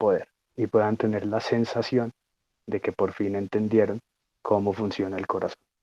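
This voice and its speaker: Over a quiet background, a man with a fairly low pitch and a dark, mellow tone speaks at a moderate pace, the sound dry and close with no echo. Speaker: student lecturer on physiology. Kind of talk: lecture.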